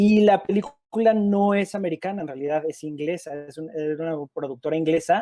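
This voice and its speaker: A man speaks with a Mexican accent in a dark, mellow tone. His pace is moderate, and his pitch varies in an ordinary way. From Mexico. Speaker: film director. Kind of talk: interview.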